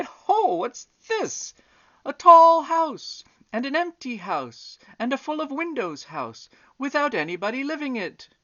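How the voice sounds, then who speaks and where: In a put-on character voice, someone shouts loudly at a fairly slow pace. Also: man, extremely high pitch for a man. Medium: read story. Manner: loud, shouting.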